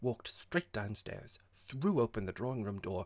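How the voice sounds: A natural reading voice with lively, bouncing intonation.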